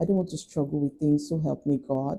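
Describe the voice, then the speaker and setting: Very deep, low-pitched woman's voice with vocal fry, a dark, mellow tone, ordinary pitch variation and a Nigerian accent. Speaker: lifestyle vlogger. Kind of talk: casual chat.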